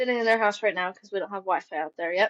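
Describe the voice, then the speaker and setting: A woman with an American accent speaks at a medium pitch with ordinary variation, the sound dry and close with no echo. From Missouri, Kansas City suburbs and rural Warsaw area. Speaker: hunter and small business owner. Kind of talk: casual chat.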